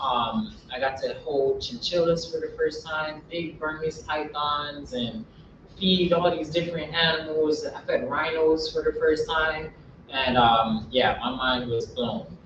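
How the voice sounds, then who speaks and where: A man with an American accent, fairly high pitch, ordinary pitch variation and a fairly slow pace, with audible room echo. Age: 20s. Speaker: wildlife educator. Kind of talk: lecture.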